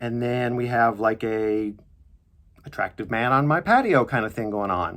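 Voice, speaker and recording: A man with an unremarkable speaking voice, medium pitch and a moderate pace. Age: 50s. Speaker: actor. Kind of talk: sponsored product demo to camera. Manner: upbeat.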